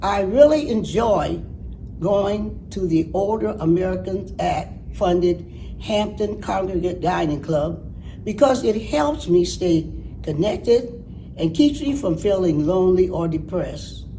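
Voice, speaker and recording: Over noticeable background noise and audible room echo, a woman talks at a fairly slow pace with a medium pitch and lively intonation. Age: 90s. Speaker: senior dining program participant. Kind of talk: reading aloud own essay.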